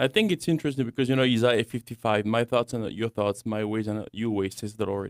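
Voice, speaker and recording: A man with a French accent, medium pitch and ordinary pitch variation, very fast with hardly any pauses, in a very clean, silent recording with a dry, close sound and no echo. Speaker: young adults ministry director. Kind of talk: radio talk show discussion. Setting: studio.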